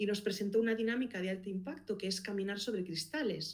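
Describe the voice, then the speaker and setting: At a fairly quick pace, a woman with a Galician accent speaks at medium pitch with fairly even intonation. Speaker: podcast producer and consultant. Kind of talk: interview.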